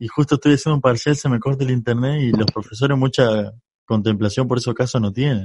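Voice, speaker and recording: A man speaks at a medium pitch with a Rioplatense accent. His intonation stays fairly even. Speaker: podcast host. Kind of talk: casual chat.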